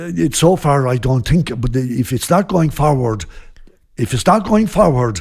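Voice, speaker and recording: With a western Irish accent, a man speaks at a fairly slow pace in a somewhat breathy, fairly high voice whose pitch swings very widely. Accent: Irish, west Clare. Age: 60s. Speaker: traditional band leader. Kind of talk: casual interview chat. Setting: recorded at a guesthouse during a music festival.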